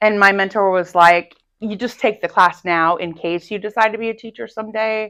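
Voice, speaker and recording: A woman's bright, sharp voice at medium pitch and moderate pace, with ordinary pitch variation, on a very clean recording against a silent background. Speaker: high school Spanish teacher. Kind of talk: casual interview. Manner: confident, no stage fright.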